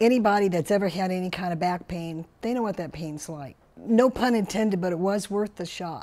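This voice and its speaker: A normal speaking voice from a woman, medium-pitched and moderately paced, with ordinary pitch variation. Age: 60s. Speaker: patient giving testimonial. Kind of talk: testimony.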